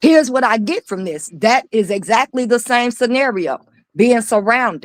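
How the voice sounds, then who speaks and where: A woman with a fairly high pitch speaks at a moderate pace in an animated tone with lively intonation. The sound is dry and close, with no echo. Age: 50s. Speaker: pastor and panelist. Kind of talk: live stream panel discussion. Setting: live stream.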